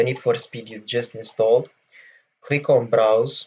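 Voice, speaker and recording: Somewhat breathy, a man speaks at a fairly slow pace. His intonation is fairly even. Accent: Romanian. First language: Romanian. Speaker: gaming tutorial youtuber. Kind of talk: tutorial. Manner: hesitant, many fillers. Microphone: voice may be quieter than game audio.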